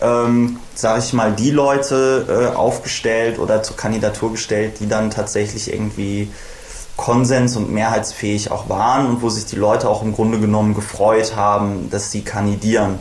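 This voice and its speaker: Through audible room echo and noticeable background noise, a man speaks at a medium pitch with fairly even intonation. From western Germany (Bonn). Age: 20s. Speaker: politician / party candidate. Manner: frequent filler hesitations.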